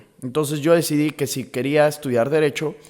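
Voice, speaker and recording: A man with a central Mexican accent, fairly high pitch and a fairly quick pace. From Mexico, León, Guanajuato. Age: 20s. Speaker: podcaster, law student. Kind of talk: casual monologue. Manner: conversational, with fillers.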